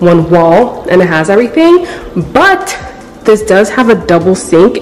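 Against light background noise, a woman speaks at a moderate pace with lively intonation. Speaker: vlogger. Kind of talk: casual vlog chat. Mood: excited, upbeat. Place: home room. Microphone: phone near.

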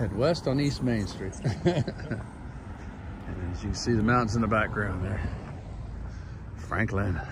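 Over noticeable background noise, a man speaks at a fairly low pitch and a fairly slow pace, with a dry sound and no echo. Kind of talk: casual vlog chat. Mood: relaxed, easygoing. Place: street. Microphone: phone near.

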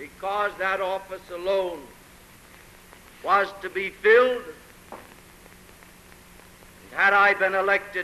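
A man's high-pitched, raised, projected voice, very slow and monotone, with long, frequent pauses. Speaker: mayoral candidate. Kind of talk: political campaign speech. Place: hall. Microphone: old recording.

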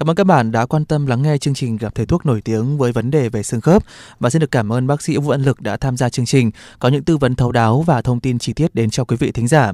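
A man's dark, mellow voice at a very fast pace, with ordinary pitch variation, a quiet background and a dry sound with no echo. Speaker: radio host. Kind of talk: radio health show hosting. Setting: studio. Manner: formal. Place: studio.

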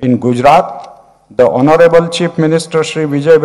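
A quiet background behind a man's voice of ordinary pitch variation. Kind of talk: formal speech. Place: hall. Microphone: podium.

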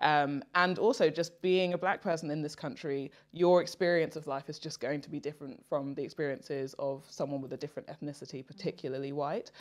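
With a British accent and a very deep, low pitch, a woman talks at a fairly quick pace with hardly any pauses, ordinary pitch variation and big swings in loudness against a quiet background. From England, Nigerian heritage. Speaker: dating talk guest; guest. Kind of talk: casual chat. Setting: studio sofa. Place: home room.

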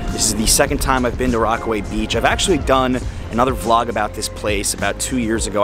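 A man talking at a very fast pace, dry with no echo, clear music in the background. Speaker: travel vlogger. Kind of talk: casual vlog chat. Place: beach. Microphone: phone near.

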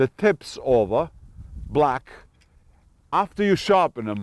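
The man's pitch swings very widely in a dry sound with no echo, with light background noise behind him. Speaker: fishing show host. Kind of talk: tutorial. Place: street. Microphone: lapel.

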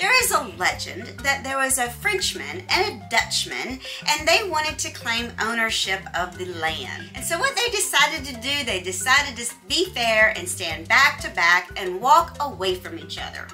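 With faint music in the background, a woman speaks at a moderate pace with hardly any pauses and big swings in loudness. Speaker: travel vlogger. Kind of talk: casual vlog narration. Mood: cheerful, smiling. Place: home room.

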